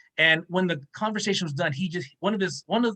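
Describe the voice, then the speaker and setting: In a bright, sharp tone, a man with a high pitch talks at a fairly quick pace. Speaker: negotiation trainee. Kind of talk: group discussion. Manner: fast.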